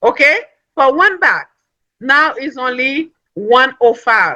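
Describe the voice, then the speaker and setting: Someone with a non-native accent speaks over music in the background. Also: woman. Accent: foreign. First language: not English. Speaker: network marketing speaker, nursing assistant. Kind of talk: motivational business talk. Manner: animated.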